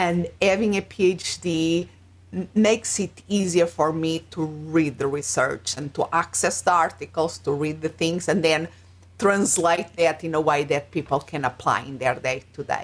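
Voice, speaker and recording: Speaking at a moderate pace with a Portuguese accent, a woman talks in a fairly low pitch with ordinary pitch variation. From Portugal. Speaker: life and business coach. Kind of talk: interview. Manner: halting.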